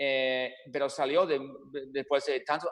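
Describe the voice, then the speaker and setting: A man with an English accent at a moderate pace. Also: quiet background. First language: English (speaking Spanish). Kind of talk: radio interview. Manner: halting, repeats words.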